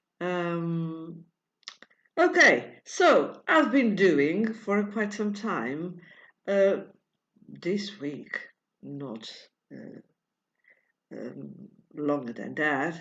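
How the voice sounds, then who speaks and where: In a room with audible echo, a woman with a fairly low pitch speaks at a very slow pace with lively intonation and long, frequent pauses. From Portugal. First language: Portuguese. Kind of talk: tutorial. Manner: halting, many fillers; non-fluent English.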